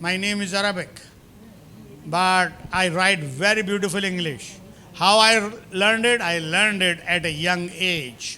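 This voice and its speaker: A man's raised, projected voice, high in pitch with a bright, sharp tone, comes at a moderate pace amid audible room echo. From India. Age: 70s. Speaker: professor. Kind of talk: lecture. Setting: lecture hall with audience. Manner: animated.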